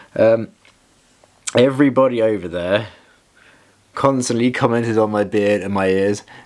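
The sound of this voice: At a fairly slow pace, a man talks with a slightly mellow tone and fairly low pitch. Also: ordinary pitch variation.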